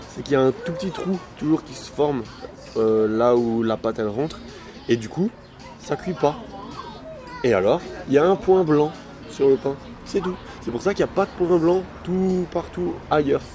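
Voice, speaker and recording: Lively intonation with long, frequent pauses, and music in the background. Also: man. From Alsace, France. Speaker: food vlogger, baker. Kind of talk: mukbang casual chat. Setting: eating at a fast-food restaurant in Switzerland. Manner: eating while talking.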